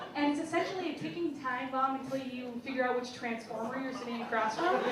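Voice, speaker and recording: A woman's high-pitched voice at a very fast pace, with ordinary pitch variation, audible room echo and noticeable background noise. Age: young. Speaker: stand-up comedian. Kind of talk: stand-up. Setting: stage with audience.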